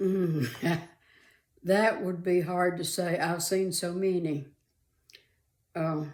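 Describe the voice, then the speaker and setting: A woman with an American accent talks at a very slow pace, leaving long, frequent pauses. Her pitch is fairly low and her intonation fairly even. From Arizona, USA. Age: 80s+. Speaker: retired mother and grandmother. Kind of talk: interview answer.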